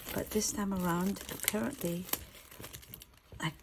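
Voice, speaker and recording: A woman whispers at a moderate pace with noticeable background noise behind her. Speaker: YouTuber, photocard collector. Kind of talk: casual chat; unboxing tutorial. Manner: whispering.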